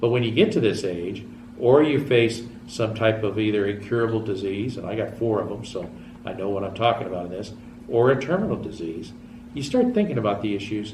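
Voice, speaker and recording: A man's medium-pitched voice, fairly quick pace, ordinary pitch variation, audible room echo. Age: 60s. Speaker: TV show host. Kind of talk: public access TV talk show monologue. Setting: TV studio.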